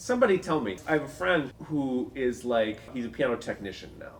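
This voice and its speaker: A man with an Upper Midwest accent, fairly high-pitched, at a moderate pace, with very wide pitch swings. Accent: Upper Midwest American. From North Dakota, Fargo. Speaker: pianist and piano teacher. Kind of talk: casual chat.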